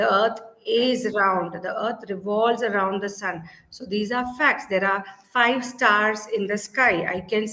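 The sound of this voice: Here someone reads in an unforced voice.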